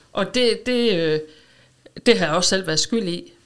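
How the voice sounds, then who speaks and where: A woman with a normal speaking voice at medium pitch talks at a fairly slow pace on a very clean recording with a silent background. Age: 50s. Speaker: schoolteacher, weight-loss client. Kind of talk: interview. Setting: studio.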